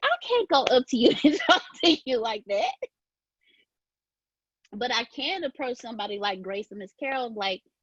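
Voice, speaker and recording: Squeaky and high, a woman's voice moves at a moderate pace with very wide pitch swings and long, frequent pauses, in a dry, close sound with no echo. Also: big swings in loudness. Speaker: speaker sharing personal story.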